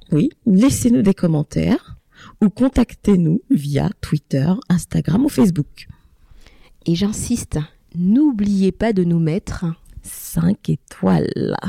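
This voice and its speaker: Pausing long and often at a very slow pace, a woman speaks fairly low and somewhat breathy, with a dark, mellow tone, very even loudness, and a dry, close sound with no echo. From Ivory Coast and France. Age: 30s. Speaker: podcast co-host, mother. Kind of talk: casual chat.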